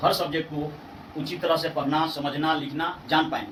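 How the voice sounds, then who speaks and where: With a Bihari accent, a man with a fairly high pitch is heard over noticeable background noise and audible room echo. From Bihar, India. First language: Bhojpuri (speaking Hindi). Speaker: English language teacher. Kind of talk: tutorial. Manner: hesitant, with filler sounds and self-corrections.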